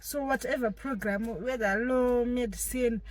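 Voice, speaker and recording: At a very slow pace, a woman speaks in a Zimbabwean accent. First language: Shona. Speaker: vlogger, law graduate. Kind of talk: casual vlog talk.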